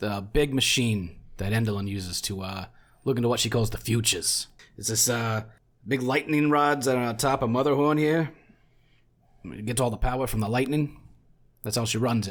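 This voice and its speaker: A man's put-on character voice, raspy and medium in pitch, at a moderate pace with long, frequent pauses, on a very clean recording with a silent background. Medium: actual play.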